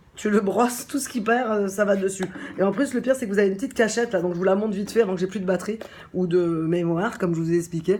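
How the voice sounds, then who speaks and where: Over noticeable background noise, a woman at medium pitch talks very fast in an animated tone, with ordinary pitch variation. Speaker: shop owner presenting a product. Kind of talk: casual product presentation.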